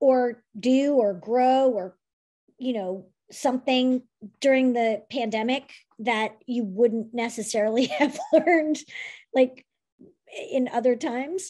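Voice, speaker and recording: Over a quiet background, a woman talks at a very slow pace with long, frequent pauses, her high-pitched voice dark and mellow in tone. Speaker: interview show host. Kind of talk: casual chat. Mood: warm, friendly, smiling. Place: home room. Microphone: video call.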